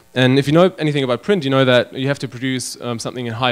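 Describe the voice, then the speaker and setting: A man with a German accent talks at a very fast pace. His intonation stays fairly even over noticeable background noise. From Germany. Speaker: web designer and magazine publisher. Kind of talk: conference talk. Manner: hesitant, many fillers.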